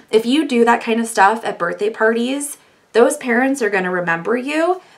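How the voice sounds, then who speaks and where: A woman with a fairly high pitch sounds animated, her pitch swinging very widely. Noticeable background noise is present. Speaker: face painter. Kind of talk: tutorial. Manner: fast.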